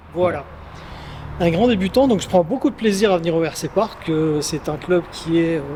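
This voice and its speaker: Noticeable background noise accompanies a man speaking at a moderate pace. His pitch is high, with ordinary pitch variation. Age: 60s. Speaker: beginner RC car hobbyist. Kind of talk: casual interview.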